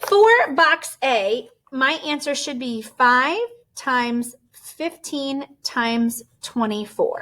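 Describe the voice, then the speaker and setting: Using a raised, projected voice, a woman speaks at a high pitch and a very slow pace, with a bright, sharp tone and ordinary pitch variation. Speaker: elementary school teacher. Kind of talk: tutorial.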